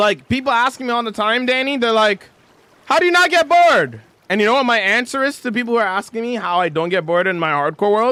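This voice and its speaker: Speaking very fast in a raised, projected voice, a man with an extremely high pitch and a bright, sharp tone swings his pitch very widely. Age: 20s. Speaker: Minecraft livestreamer. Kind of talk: casual livestream chat.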